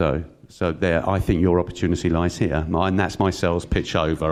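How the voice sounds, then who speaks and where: A very fast-talking man with a very deep, low voice and a London accent, over noticeable background noise. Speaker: panelist promoting regional tech economy. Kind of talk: conference panel talk.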